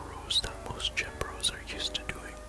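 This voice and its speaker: Someone is whispering at a moderate pace. Noticeable background noise sits behind the voice. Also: man. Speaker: fitness instructor. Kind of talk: ASMR workout tutorial. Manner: whispered; relaxing, soft-spoken.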